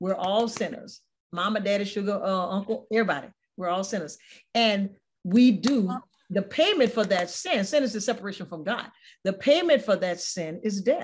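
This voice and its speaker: A woman speaks at a moderate pace and medium pitch. Her voice is somewhat breathy, with ordinary pitch variation. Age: old. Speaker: talk show host. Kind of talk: interview with religious reflection. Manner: conversational, repetitive.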